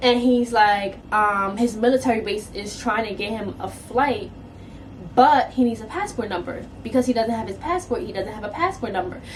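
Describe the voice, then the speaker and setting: A woman with a New York accent speaks in a fairly high voice with ordinary pitch variation. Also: moderate pace. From New York City. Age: 20s. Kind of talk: casual story time to camera.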